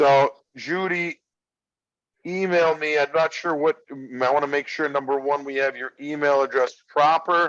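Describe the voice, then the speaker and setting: With ordinary pitch variation, a man talks at a moderate pace, his pitch fairly high. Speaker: golf director. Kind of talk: informational session Q&A. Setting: video call. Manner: loud.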